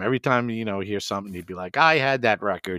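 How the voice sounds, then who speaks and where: Heard on a very clean recording with a silent background and a dry, close sound with no echo, a man with a plain, everyday voice talks at a fairly quick pace in a fairly low pitch with ordinary pitch variation. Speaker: music show co-host. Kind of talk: casual chat about music.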